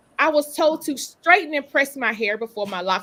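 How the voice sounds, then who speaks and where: Recorded very cleanly against a silent background, a woman with a Southern US accent sounds animated, her bright, sharp tone carrying lively intonation. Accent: Southern drawl. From Eastern North Carolina. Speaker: lawyer and author. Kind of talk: panel discussion.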